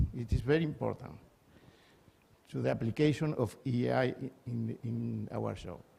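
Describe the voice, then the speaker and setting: A man with a Spanish accent talks at a fairly slow pace. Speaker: energy systems engineer. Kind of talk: conference talk. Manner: halting.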